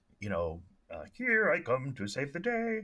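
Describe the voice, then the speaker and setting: A man puts on a character voice pitched high for him. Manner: heroic.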